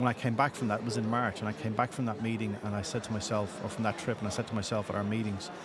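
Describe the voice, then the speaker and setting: A man with an Irish accent, fairly low in pitch, at a very fast pace with monotone, flat intonation, over noticeable background noise. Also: hardly any pauses. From Ireland. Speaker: patient assistance organization leader. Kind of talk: podcast interview.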